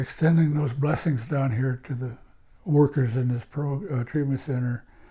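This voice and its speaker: Speaking at a fairly slow pace, a man with a fairly high pitch has a somewhat breathy, dark, mellow tone and fairly even intonation. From Washington State, US Pacific Northwest reservation. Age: 60s. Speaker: elder, former addictions counselor. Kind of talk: interview reminiscence. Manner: halting, with frequent repetitions; reflective.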